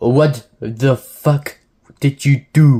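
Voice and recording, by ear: A man puts on a character voice, keeping his pitch in the medium range.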